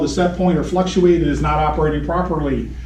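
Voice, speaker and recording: Noticeable background noise and audible room echo surround a man talking at a very fast pace. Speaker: HVAC technical trainer. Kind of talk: technical training lecture.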